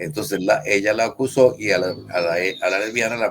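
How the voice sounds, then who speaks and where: With a Costa Rican accent, a man speaks using lively intonation. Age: 80s+. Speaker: human rights activist. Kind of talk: interview conversation. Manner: halting, with fillers.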